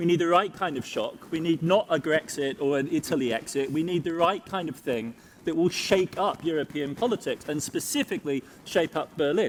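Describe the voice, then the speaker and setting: A high-pitched man with an English accent, at a fairly quick pace, with ordinary pitch variation. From Germany. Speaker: economics panelist. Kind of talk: panel discussion.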